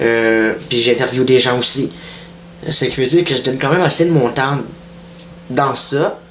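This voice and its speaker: A man in a Quebec accent, medium pitch, moderate pace, ordinary pitch variation and long, frequent pauses, with audible room echo and noticeable background noise. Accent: Québécois French. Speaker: online news page creator. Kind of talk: casual monologue. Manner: hesitant, many fillers.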